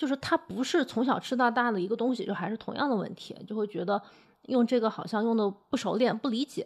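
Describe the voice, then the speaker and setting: Against a quiet background, a woman with a fairly high pitch and ordinary pitch variation talks in a normal speaking voice. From Hunan, Changsha. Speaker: food podcast host. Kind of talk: podcast narration and conversational interview.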